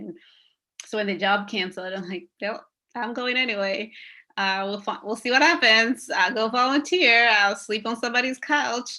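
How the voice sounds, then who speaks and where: A woman talks at a moderate pace with ordinary pitch variation. Her tone is bright and sharp, and the recording is very clean with a silent background. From Rwandan raised in Uganda. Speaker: therapist and activist. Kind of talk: interview talk. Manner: animated.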